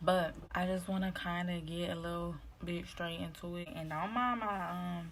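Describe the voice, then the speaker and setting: A woman speaks at a fairly low pitch, with audible room echo around her voice. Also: fairly even intonation, moderate pace. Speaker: vlogger giving dating advice. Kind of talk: casual vlog monologue. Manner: low, quiet voice.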